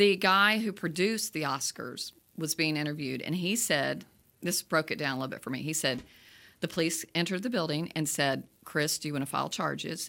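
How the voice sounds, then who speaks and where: On a very clean recording with a silent background, a woman's very deep, low voice has a bright, sharp tone. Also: ordinary pitch variation, fairly quick pace. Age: 60s. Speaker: movie review podcast host. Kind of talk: casual chat. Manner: animated.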